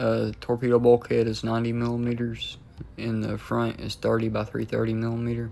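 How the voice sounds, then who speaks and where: Fairly quick speech against noticeable background noise. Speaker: gaming video creator. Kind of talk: gameplay tutorial commentary. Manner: casual; halting, frequent fillers.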